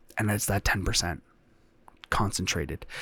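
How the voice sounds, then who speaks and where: A man speaks in a somewhat breathy, fairly low voice. The recording is very clean, with a silent background. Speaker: solo podcaster. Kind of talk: solo monologue to camera. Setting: home recording in front of a camera. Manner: halting, many fillers and repeats.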